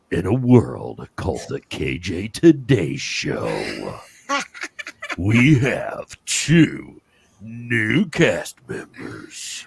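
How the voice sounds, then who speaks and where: Using a put-on character voice with a dramatic tone, a man at medium pitch speaks at a very slow pace. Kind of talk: trailer-style narration. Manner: dramatic, announcing.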